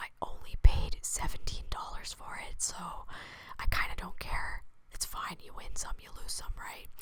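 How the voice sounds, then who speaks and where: Noticeable noise sits behind a woman who is whispering fairly slowly. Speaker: video game content creator. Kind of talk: ASMR whispering.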